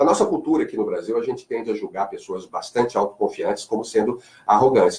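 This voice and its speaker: A man speaks with a slight Carioca accent. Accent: slight Carioca (Rio de Janeiro). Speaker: marketing speaker and lecturer. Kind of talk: radio interview. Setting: radio studio.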